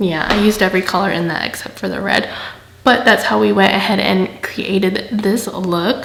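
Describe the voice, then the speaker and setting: A woman speaks at a moderate pace with fairly even intonation. Her voice carries audible room echo against noticeable background noise. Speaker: makeup tutorial youtuber. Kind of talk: tutorial voiceover. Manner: casual, chatty.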